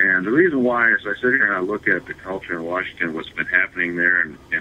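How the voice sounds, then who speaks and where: Over noticeable background noise, a man with an American accent talks at a fairly quick pace in a very deep, low voice. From US Midwest, northern Michigan. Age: 60s. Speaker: congressional candidate. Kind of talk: interview. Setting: internet radio. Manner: halting, many fillers and repeats.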